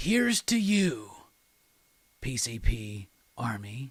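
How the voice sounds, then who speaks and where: A put-on character voice booms out. The pace is very slow. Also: man, medium pitch for a man. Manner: dramatic, booming.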